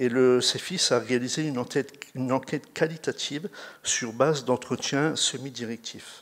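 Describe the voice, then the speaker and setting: A man speaks at a moderate pace. His pitch is medium and his intonation fairly even. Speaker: researcher presenting a study. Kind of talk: conference talk. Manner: halting, many fillers and restarts.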